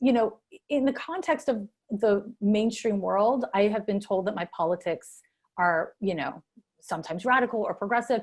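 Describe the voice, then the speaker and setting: Lively in intonation, a woman with a fairly high pitch talks at a moderate pace on a very clean recording with a silent background. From Canada, Montreal. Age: 40s. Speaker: astrologer. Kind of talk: interview. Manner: hesitant, many fillers.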